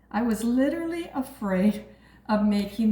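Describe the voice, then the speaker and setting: A woman with a fairly high voice speaks amid audible room echo. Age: 60s. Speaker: cooking channel host. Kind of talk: cooking tutorial. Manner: casual, chatty.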